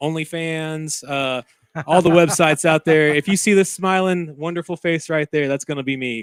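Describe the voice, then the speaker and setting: An ordinary speaking voice from a man, fairly high in pitch, with fairly even intonation at a moderate pace, in a dry, close sound with no echo. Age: 30s. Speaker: musician. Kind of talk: casual chat. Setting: studio.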